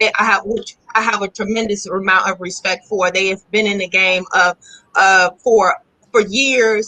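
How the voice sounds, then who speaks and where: At a fairly slow pace, a woman with an American accent speaks at medium pitch with fairly even intonation. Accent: Chicago accent with a country, southern twang. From Chicago. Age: 40s. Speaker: holistic lifestyle entrepreneur. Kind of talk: casual live-stream interview chat. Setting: live stream on social media.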